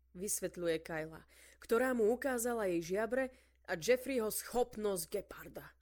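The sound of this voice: Unforced reading voice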